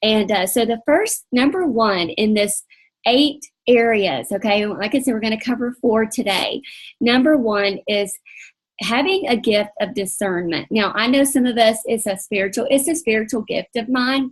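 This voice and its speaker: Speaking at a moderate pace, a woman has a somewhat breathy, fairly high-pitched voice with ordinary pitch variation. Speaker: faith-based coaching leader. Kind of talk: online coaching training session. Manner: partly reading aloud.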